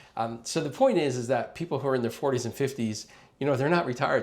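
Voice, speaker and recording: A man at a medium pitch with ordinary pitch variation and a very fast pace. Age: 50s. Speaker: travel advisor. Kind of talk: informal explainer video. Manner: conversational with many fillers.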